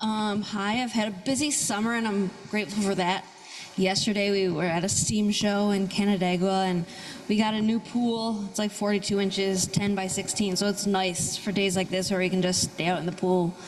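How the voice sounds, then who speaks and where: A woman speaks at a medium pitch with fairly even intonation and very even loudness, with audible room echo and noticeable background noise. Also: moderate pace. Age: 40s. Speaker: congregant. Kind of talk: church service sharing.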